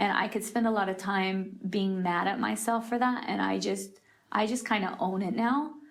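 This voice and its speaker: A woman speaks at a medium pitch and moderate pace with fairly even intonation, very even loudness and audible room echo. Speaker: creative leader and church singer. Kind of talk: interview. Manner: halting, many fillers and self-corrections; rambling.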